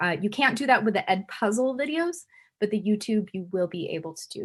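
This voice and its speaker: A woman's somewhat breathy voice at a fairly high pitch moves at a fairly quick pace with very wide pitch swings, in a very clean recording with a silent background. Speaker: chemistry instructor. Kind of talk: lecture. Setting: recorded video lecture. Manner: fast.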